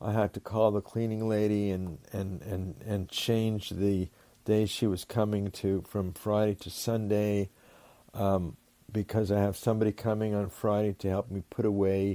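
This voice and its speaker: A man with a fairly low pitch and a dark, mellow tone speaks at a moderate pace in a monotone, flat manner. The sound is dry and close with no echo. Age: 70s. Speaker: rabbi and psychotherapist. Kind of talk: interview. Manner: halting, many repeated words.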